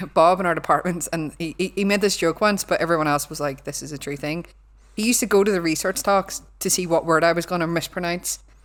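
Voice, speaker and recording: With a Belfast accent, a woman talks at a very fast pace in a fairly low pitch on a very clean recording with a silent background. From Northern Ireland, Belfast. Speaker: cyber security lecturer. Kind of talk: casual chat. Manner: animated.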